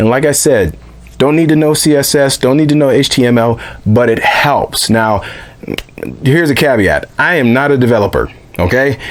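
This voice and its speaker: A man with a medium pitch and ordinary pitch variation talks at a moderate pace in an animated tone, keeping his loudness very even. Noticeable background noise runs underneath. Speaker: tabletop gaming YouTuber. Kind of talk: video intro to camera.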